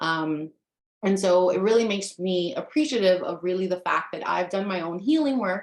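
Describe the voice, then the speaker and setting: A woman with an American accent has an ordinary speaking voice. Her pitch is medium, with ordinary variation. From US, Dominican American family. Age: 30s. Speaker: life coach and teacher. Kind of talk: webinar presentation. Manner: frequent filler ums.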